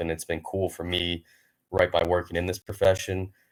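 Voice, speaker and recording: Very deep and low, a man's voice holds a monotone, flat intonation. The recording is very clean, the background silent. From Wisconsin (Colfax, rural). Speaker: college football staff member. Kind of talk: podcast interview. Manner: loud.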